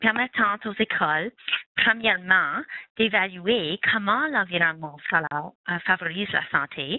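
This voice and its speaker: A woman with a non-native accent. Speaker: webinar presenter, health education consortium staff. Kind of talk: webinar presentation. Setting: online webinar. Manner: hesitant, many fillers.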